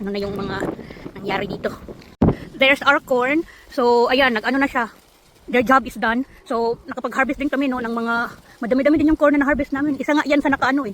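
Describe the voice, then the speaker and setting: Over noticeable background noise, the speech runs at a very fast pace broken by long, frequent pauses. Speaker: vlogger. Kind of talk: casual vlog.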